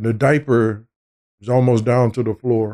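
A man with a medium pitch speaks at a moderate pace in a dark, mellow tone. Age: 70s. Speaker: visual artist. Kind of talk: interview.

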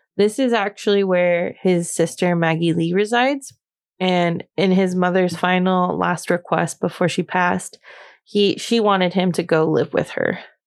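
In an American accent, the speaker has an animated tone at a moderate pace, with very even loudness and a quiet background. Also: woman, medium pitch for a woman. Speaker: podcast host. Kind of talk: casual chat. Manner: animated, laughs often.

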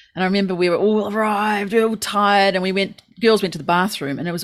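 A woman speaks with a New Zealand accent. Her pitch variation is ordinary. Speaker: podcast co-host. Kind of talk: casual chat. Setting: remote call.

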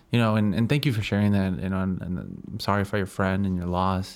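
Speaking at a fairly quick pace with fairly even intonation, a man has a normal speaking voice on a very clean recording with a silent background. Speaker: podcast host. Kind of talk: casual interview chat.

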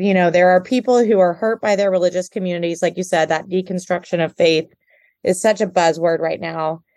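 In an American accent, a plain, everyday voice moves at a fairly quick pace with ordinary pitch variation. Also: woman. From Houston, Texas. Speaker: podcast host and social worker. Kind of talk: interview.

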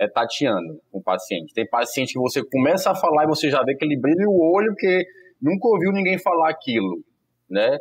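Speaking at a fairly quick pace, a man with a fairly high voice swings his pitch very widely. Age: 30s. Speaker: family doctor. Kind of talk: casual chat. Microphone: connection problems.

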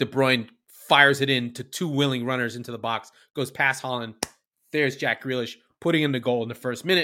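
Speaking at a fairly quick pace, a man with a medium-pitched voice has a bright, sharp tone. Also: very clean recording, silent background. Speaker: podcast host. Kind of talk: podcast recap and match analysis, with a spell of play-by-play highlight narration. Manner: animated, rapid-fire play-by-play, breathless as he runs through passes and goals; jokey and irreverent, playful asides.

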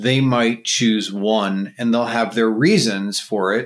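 A man's unremarkable speaking voice with an American accent, medium pitch, fairly even intonation and a fairly slow pace, on a very clean recording with a silent background. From New York, eastern Long Island. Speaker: podcast host. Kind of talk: casual interview chat.

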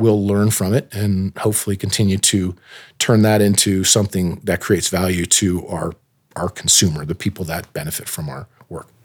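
A man speaks at a moderate pace in a plain, everyday voice, his pitch fairly low. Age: 40s. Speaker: orthopedic doctor and biotech entrepreneur. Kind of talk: interview.

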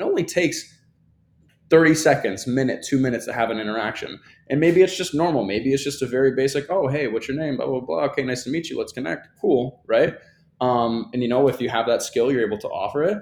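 Recorded very cleanly against a silent background, a man speaks in an ordinary speaking voice at medium pitch, with ordinary pitch variation and a fairly quick pace. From US Midwest (Kalamazoo, Michigan). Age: 20s. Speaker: content creator. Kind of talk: casual chat.

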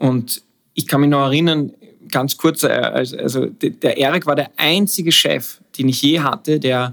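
Speaking at a moderate pace, the man has a fairly high pitch. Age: 40s. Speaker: advertising creative director. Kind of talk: casual interview. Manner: halting, many fillers and repetitions.

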